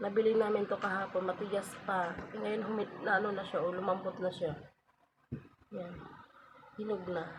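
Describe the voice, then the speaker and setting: A woman speaks at medium pitch and a moderate pace in a monotone, flat intonation. She leaves long, frequent pauses. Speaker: vlogger. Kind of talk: casual vlog talk. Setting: at home, just woke up.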